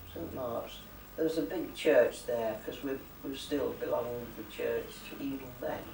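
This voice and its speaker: Recorded with audible room echo and noticeable background noise, a man speaks at a moderate pace. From England (Keighley, Yorkshire; London; Lincoln). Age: 80s+. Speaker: elderly local resident. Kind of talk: oral history interview. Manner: halting.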